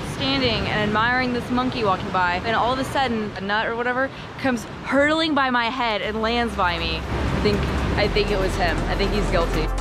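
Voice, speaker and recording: Over music in the background and with audible room echo, a woman speaks at a fairly high pitch and a fairly quick pace with ordinary pitch variation. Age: 20s. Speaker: travel vlogger. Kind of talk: travel vlog narration. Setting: outdoors.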